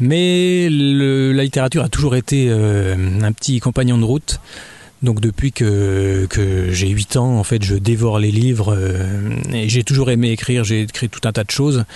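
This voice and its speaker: A man speaks at a fairly slow pace with a dark, mellow tone, a medium pitch and ordinary pitch variation. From Burgundy, France (Dijon). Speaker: novelist and children's author. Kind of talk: radio interview. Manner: hesitant, many fillers.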